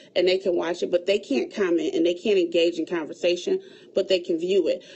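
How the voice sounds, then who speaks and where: Her pace is fairly quick. Noticeable background noise accompanies this female speaker. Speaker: event planner. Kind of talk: livestream tutorial.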